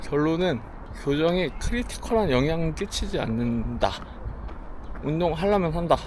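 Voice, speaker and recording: A man's fairly slow speech with long, frequent pauses, audible room echo and noticeable background noise. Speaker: running vlogger. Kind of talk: casual vlog chat while running. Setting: outdoors on a running path.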